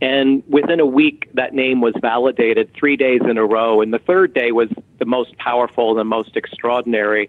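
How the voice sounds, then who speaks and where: In a plain, everyday voice, this man talks at a moderate pace, his medium pitch showing ordinary pitch variation. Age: 50s. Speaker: author and medium. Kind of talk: interview.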